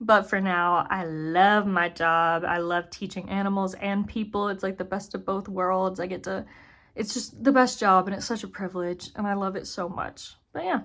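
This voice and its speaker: A woman's plain, everyday voice at a medium pitch, moderate in pace with fairly even intonation, on a very clean recording with a silent background. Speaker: zookeeper and video creator. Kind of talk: casual chat.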